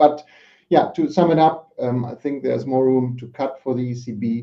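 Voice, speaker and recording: A man speaks with a German accent. His pace is moderate and his pitch variation ordinary. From Germany. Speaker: market analyst. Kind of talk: panel discussion. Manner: hesitant, many fillers.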